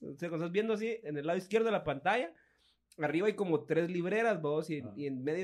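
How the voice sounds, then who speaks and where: Speaking very fast in a Guatemalan accent, a man with a fairly high pitch uses ordinary pitch variation. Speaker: podcast co-host. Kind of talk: casual chat.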